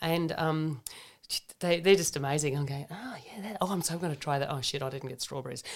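A woman with an Australian accent speaks at a fairly low pitch. Her pitch variation is ordinary. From Germany, raised in Australia. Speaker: naturopath and functional medicine practitioner. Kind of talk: casual health chat. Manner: animated.

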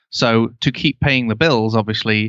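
A man in a Lancashire accent speaks at a moderate pace with a fairly low pitch and ordinary pitch variation. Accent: northern English (Lancashire). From Canada, Ontario (St. Catharines). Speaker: web agency owner and podcast host. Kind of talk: interview conversation. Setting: remote call.

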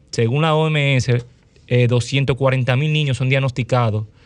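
A man with a Dominican accent talks at a fairly slow pace, his medium pitch following fairly even intonation. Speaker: physician.

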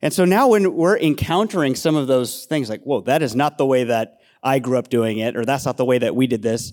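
A man with an American accent speaks in a normal speaking voice at a fairly high pitch. The recording is very clean, with a silent background. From Castro Valley, California (San Francisco Bay Area). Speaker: pastor. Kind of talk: panel discussion, casual.

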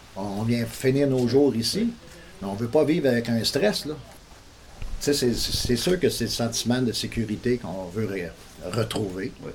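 A man talks at a moderate pace and medium pitch, with lively intonation and long, frequent pauses. Noticeable background noise is present. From Montreal, Quebec. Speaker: local resident. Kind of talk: news interview.

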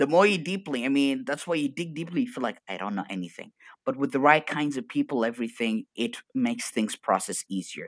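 A man with an Arabic accent, animated and energetic in tone, fairly high-pitched, with very wide pitch swings and a fairly quick pace. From Arabic-speaking region. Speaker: coach. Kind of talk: casual chat. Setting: video call.

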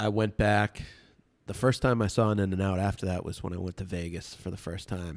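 A man with a Boston accent talks at a fairly quick pace. His fairly low pitch holds fairly even intonation. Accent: Boston-area American. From Massachusetts, Medfield (Metro West Boston). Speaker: bar and restaurant owner. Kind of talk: casual chat.

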